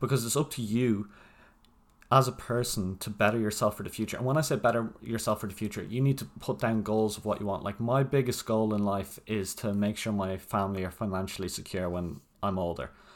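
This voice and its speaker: Speech moves at a fairly quick pace with ordinary pitch variation. The recording is very clean, with a silent background. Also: man, fairly low pitch for a man. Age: 20s. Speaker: podcast host. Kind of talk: motivational monologue. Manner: casual, with filler ums.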